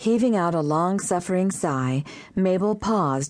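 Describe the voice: The plain reading aloud has lively intonation.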